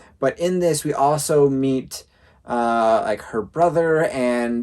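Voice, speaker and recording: He has an unremarkable speaking voice with fairly high pitch. The man's pitch variation is ordinary. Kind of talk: casual review talk to camera.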